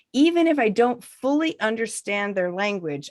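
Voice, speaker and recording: A woman speaks with an American accent. The recording is very clean and the background silent. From United States. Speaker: author and negotiator. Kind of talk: reading aloud. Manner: slow.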